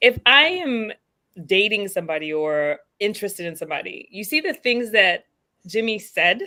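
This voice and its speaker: This woman's fairly high voice has a bright, sharp tone and very wide pitch swings. She keeps a moderate pace. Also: big swings in loudness. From Caribbean. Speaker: panelist. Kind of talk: casual chat.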